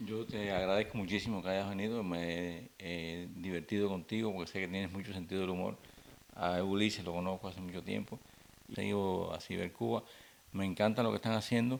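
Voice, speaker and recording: Delivered at a fairly quick clip, the speech keeps a fairly even intonation. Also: man, very deep, low pitch for a man. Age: 60s. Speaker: comedian. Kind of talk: interview. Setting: at home.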